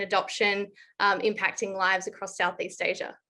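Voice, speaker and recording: With an Australian accent, a woman speaks at a fairly quick pace in a medium pitch, her tone bright and sharp over a quiet background. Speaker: blockchain consultant and columnist. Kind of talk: panel discussion.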